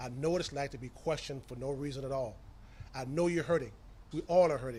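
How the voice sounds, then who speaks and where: Somewhat breathy, a man with an American accent talks at a fairly quick pace with fairly even intonation. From US South, Tampa, Florida. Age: 60s. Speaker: county commission chairman. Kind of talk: press conference statement.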